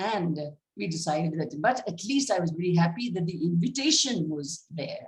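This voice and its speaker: A somewhat breathy woman's voice, fairly low in pitch, at a moderate pace with lively intonation. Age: 80s+. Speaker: school founder, award recipient. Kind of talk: acceptance speech. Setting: video call.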